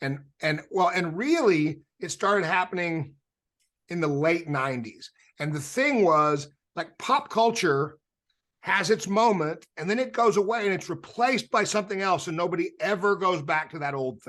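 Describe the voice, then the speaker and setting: Pitched high, a man speaks with lively intonation. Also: moderate pace. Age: 60s. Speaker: rock musician. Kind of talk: casual chat.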